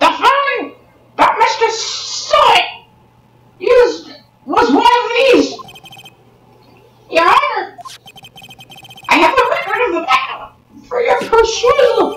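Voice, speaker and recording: A put-on character voice at extremely high pitch, fairly slow, with long, frequent pauses and slight echo. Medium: fan dub. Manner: shouting, emphatic.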